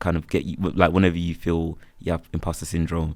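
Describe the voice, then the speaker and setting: Against a silent background on a very clean recording, the words come at a fairly quick pace. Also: man. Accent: Birmingham. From Birmingham, England. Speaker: freelance photographer and videographer. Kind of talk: casual interview chat. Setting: podcast recorded on campus.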